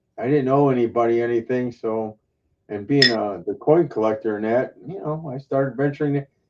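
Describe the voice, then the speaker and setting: A man with a plain, everyday voice speaks at a medium pitch. His pace is fairly quick and his pitch varies in an ordinary way. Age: 60s. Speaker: retired coin collector. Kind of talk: casual chat. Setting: live stream hangout.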